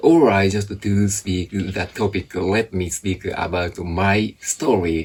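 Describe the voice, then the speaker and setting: The pace is very slow, with hardly any pauses. The speaker has a Japanese accent. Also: man, fairly low pitch for a man, ordinary pitch variation. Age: 40s. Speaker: English teacher. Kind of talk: interview.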